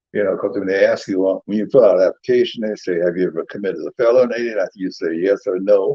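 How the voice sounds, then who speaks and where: The speech runs at a very fast pace with hardly any pauses. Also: man. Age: 80s+. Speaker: retired autoworker and realtor. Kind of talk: life story interview. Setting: in a home. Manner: halting.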